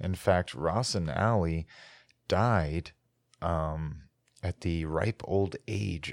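A man with an American accent at a very slow pace, with ordinary pitch variation, on a very clean recording with a silent background. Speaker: history podcaster. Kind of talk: solo history narration. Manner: halting.

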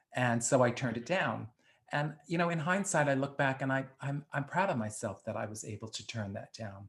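At a fairly quick pace, a man with an American accent talks at a medium pitch in a somewhat breathy voice. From the Bronx, New York. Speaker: drag performer and actor. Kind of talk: casual interview.

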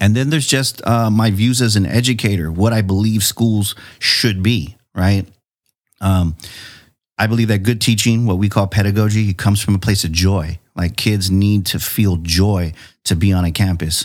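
An ordinary speaking voice from a man with an American accent, fairly low in pitch, with ordinary pitch variation, very even loudness and a moderate pace, on a very clean recording with a silent background. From San Diego, California. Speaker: educator and school board trustee. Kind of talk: casual chat.

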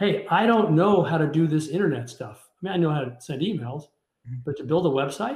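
The speaker has a Midwestern US accent. Delivery is fairly quick with lively intonation. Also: man, fairly high pitch for a man. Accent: US Midwest. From Kansas City, Missouri. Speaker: business executive. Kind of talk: interview.

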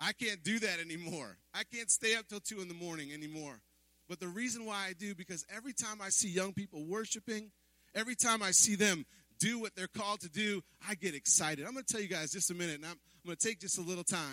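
A man's raised, projected voice, high in pitch with a bright, sharp tone, very fast pace and ordinary pitch variation, in a dry, close sound with no echo. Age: 40s. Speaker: pastor. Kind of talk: sermon. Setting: church. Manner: animated.

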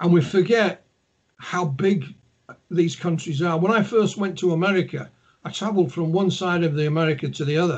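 A man speaks with a Yorkshire accent, his voice high in pitch. The pace is fairly quick, with ordinary pitch variation. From Yorkshire, northern England. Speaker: ufologist and author. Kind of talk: interview.

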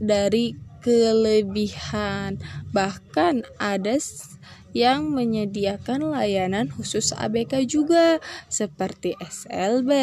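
A woman at a very slow pace, medium in pitch, with a dark, mellow tone. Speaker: student. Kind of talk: solo podcast talk. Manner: halting.

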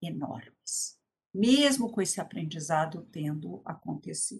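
A woman talks at a fairly slow pace with very wide pitch swings. Her voice is somewhat breathy. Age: 60s. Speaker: education policy expert and former teacher. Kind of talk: lecture.

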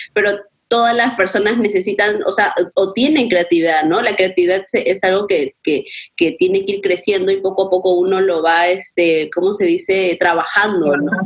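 A woman speaks at a fairly quick pace with ordinary pitch variation. Hers is an ordinary speaking voice. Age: 20s. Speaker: graphic designer and photographer. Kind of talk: casual chat.

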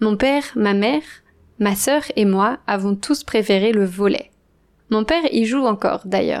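Her voice is fairly high for a woman, with ordinary pitch variation and very even loudness. She speaks at a fairly slow pace. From western France. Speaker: language teacher podcaster. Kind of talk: scripted narration. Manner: slow and clear for learners.

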